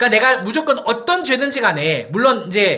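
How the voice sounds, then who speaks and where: A man speaks in a raised, projected voice at an extremely high pitch and a fairly quick pace. His tone is bright, sharp and animated, with lively intonation. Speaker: pastor. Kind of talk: sermon. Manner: animated, conversational with rhetorical questions.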